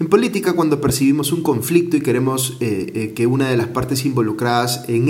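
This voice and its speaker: A man talks at a moderate pace with a medium pitch and ordinary pitch variation. Noticeable background noise and audible room echo are present. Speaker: news commentator. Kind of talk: news commentary monologue.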